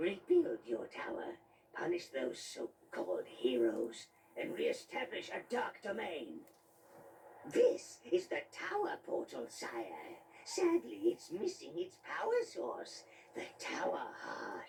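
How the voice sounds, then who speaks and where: A put-on character voice from a man, delivered rather slowly. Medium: video game. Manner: obsequious, sarcastic.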